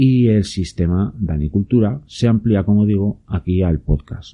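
In a Spanish accent, a man with a very deep, low pitch speaks in a somewhat breathy voice. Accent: Peninsular Spanish. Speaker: podcast host and YouTuber on permaculture. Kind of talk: casual solo talk to listeners. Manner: hesitant, many fillers.

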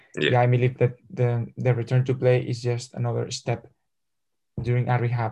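A man speaks at a moderate pace in a medium-pitched, somewhat breathy voice. His tone is dark and mellow, his intonation monotone and flat. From Spain, Madrid. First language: Spanish. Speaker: football physical therapist and sports scientist. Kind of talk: interview. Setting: video call. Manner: halting.

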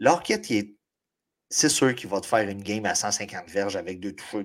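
In a very clean recording with a silent background, a man with a Quebec accent talks at a moderate pace in a fairly low pitch. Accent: Québécois French. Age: 40s. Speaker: fantasy football podcast co-host. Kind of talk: casual chat.

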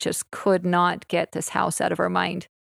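A woman's medium-pitched voice at a fairly slow pace, with a very clean recording, a silent background and a dry, close sound with no echo. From Utah. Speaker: podcast host. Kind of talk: casual chat. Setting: at home on the couch.

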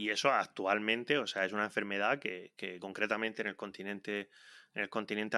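Dry and close with no echo on a very clean recording with a silent background, a man's fairly low voice has a bright, sharp tone. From Spain, Region of Murcia. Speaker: podcast host, researcher. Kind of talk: casual interview.

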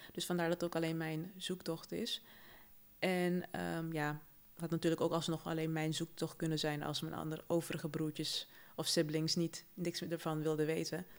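Fairly low, monotone, flat speech from a woman, delivered at a moderate pace. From Suriname. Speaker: podcast co-host. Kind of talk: casual chat.

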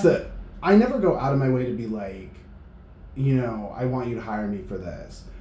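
Lively intonation from a man at medium pitch, fairly quick in pace, with audible room echo. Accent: American. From New Hampshire, US. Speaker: concert promotions manager. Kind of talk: casual chat. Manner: animated.

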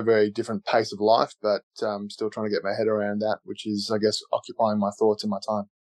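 Against a quiet background, a man with an Australian accent speaks fairly quickly in a fairly low voice, the sound dry and close with no echo. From Australia (Canberra). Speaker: retired professional footballer. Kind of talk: interview.

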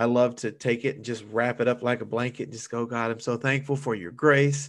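A man with an American accent speaks in an unremarkable speaking voice at a medium pitch, his intonation fairly even, on a very clean recording with a silent background. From US South. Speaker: church minister. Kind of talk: casual interview.

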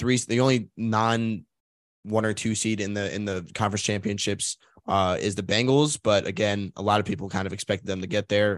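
A man's unremarkable speaking voice, fairly low-pitched, at a fairly quick pace with fairly even intonation, in a dry, close sound with no echo over a quiet background. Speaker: sports podcast host. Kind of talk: casual sports podcast chat.

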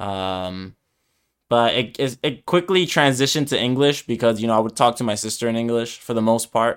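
On a very clean recording with a silent background, a man with an American accent speaks in a normal speaking voice at a fairly quick pace, with a medium pitch and ordinary pitch variation. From New York, US (Dominican family). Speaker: podcast co-host, English teacher. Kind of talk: casual chat.

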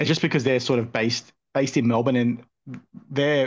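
A man with an Australian accent, medium pitch and fairly even intonation against a quiet background. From Australia, southwest Sydney. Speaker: sports card collector and content creator. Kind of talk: casual chat.

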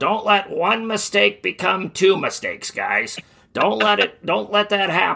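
A man's high-pitched put-on character voice, raspy and gravelly. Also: fairly slow pace.

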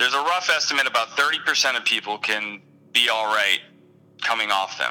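At a moderate pace, a man speaks in an ordinary speaking voice of medium pitch. His loudness is very even and his pitch variation ordinary. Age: 30s. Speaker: online support group moderator. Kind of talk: casual interview.

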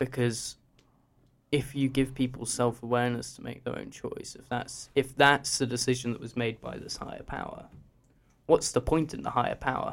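A man's medium-pitched voice with vocal fry and monotone, flat intonation at a moderate pace. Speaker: guest panellist. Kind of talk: casual group discussion.

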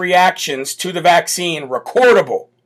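A man speaks loudly at a high pitch, raspy and croaky. His tone is fairly bright.

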